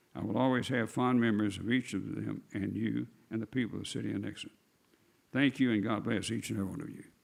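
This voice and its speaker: Delivered at a very fast pace with a Missouri accent, the voice shows vocal fry and ordinary pitch variation. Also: man, fairly low pitch for a man. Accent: Midwestern US (Missouri). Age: 80s+. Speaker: retired city attorney. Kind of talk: speech at council meeting. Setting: city council meeting.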